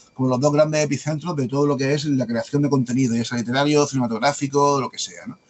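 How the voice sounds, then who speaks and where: A man with a slight Andalusian accent talks at a very fast pace and fairly high pitch over noticeable background noise. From Andalusia, Spain. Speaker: mystery writer and publisher. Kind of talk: podcast interview. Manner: hesitant, many fillers.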